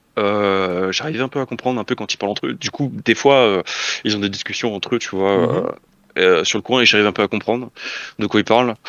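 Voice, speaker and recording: This man talks at a fairly quick pace with a fairly low pitch and ordinary pitch variation. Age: 20s. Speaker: esports coach. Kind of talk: casual interview. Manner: halting.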